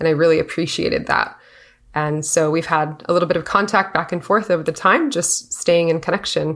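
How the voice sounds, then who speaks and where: At a fairly quick pace, a woman talks in a normal speaking voice with a fairly low pitch and ordinary pitch variation. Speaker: interviewer. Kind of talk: casual interview conversation.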